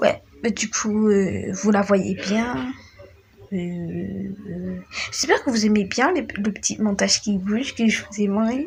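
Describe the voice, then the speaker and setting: A woman speaks at a fairly slow pace with a fairly high pitch. Noticeable background noise runs under her voice. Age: 20s. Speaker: gaming YouTuber. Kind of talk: casual vlog talk to camera. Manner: hesitant, many fillers.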